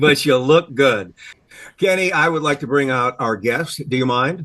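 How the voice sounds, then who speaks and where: A man talks in a plain, everyday voice at a fairly high pitch. His pace is moderate and his pitch variation ordinary. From US Midwest. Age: 60s. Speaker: podcast host. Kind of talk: casual chat.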